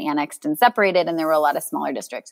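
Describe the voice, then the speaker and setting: A woman with a fairly low pitch speaks in an American accent. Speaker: parent and school integration advocate. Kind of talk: casual chat.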